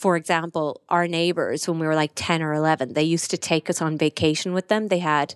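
In an Irish accent, a woman talks at a fairly quick pace with fairly low pitch and fairly even intonation, on a very clean, dry, close recording with no echo and a silent background. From Ireland, County Kerry. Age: 30s. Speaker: corporate lawyer and entrepreneur. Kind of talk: casual interview chat.

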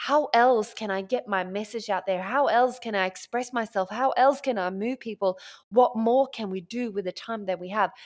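In a very clean recording with a silent background, a woman speaks at a moderate pace in a fairly high voice, animated and passionate in tone, with ordinary pitch variation. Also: hardly any pauses. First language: not English. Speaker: business mentor and podcaster. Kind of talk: solo motivational monologue. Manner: animated, passionate, expressive.

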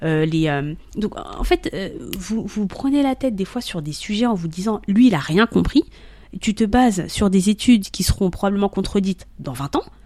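A woman speaks at a moderate pace with lively intonation. Her medium-pitched voice has a dark, mellow tone. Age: 30s. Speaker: content creator on love and marriage. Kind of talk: casual chat.

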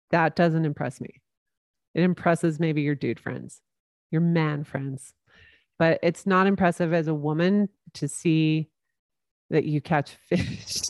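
A woman's very deep, low voice with a Utah accent, fairly slow pace, long and frequent pauses, fairly even intonation, and a dry, close sound with no echo. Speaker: podcast host. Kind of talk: casual chat.

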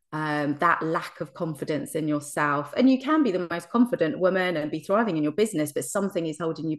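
A woman with an English accent talks at a fairly quick pace, with hardly any pauses. Her pitch is fairly low, her intonation lively, and the background quiet. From England. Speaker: hypnotherapist. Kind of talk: interview conversation.

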